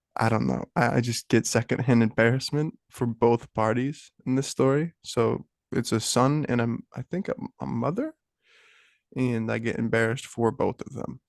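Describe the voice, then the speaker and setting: In an unremarkable speaking voice, a man talks at a medium pitch and moderate pace with fairly even intonation, the sound dry and close with no echo over a quiet background. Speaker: podcast co-host. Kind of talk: casual chat.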